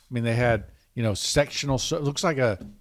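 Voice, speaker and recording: On a very clean recording with a silent background, a man of medium pitch speaks with fairly even intonation. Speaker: podcast host and craftsman. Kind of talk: casual chat. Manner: halting.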